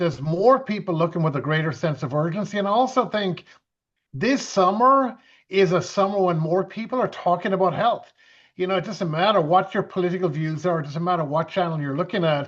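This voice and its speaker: In an Irish accent, a man talks at a fairly quick pace. His pitch is high, with ordinary variation. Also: quiet background. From western Ireland (Galway). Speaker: event MC and home business mentor. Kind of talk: business webinar talk.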